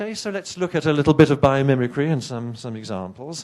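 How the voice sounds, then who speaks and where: With an English accent, a man talks at a moderate pace using lively intonation. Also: quiet background. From England. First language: not English. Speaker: professor. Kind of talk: keynote lecture. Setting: conference stage with audience. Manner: animated, conversational with hesitations.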